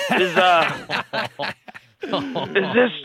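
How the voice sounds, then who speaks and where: A man with a strong New Zealand accent. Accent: thick New Zealand. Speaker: caller. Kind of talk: radio call-in.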